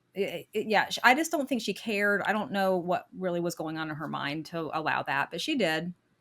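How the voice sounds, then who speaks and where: With an American accent and a plain, everyday voice, a woman talks at a fairly quick pace in a medium pitch with lively intonation, on a very clean recording with a silent background. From US South. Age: 50s. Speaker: podcast guest telling her divorce story. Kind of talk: interview testimony.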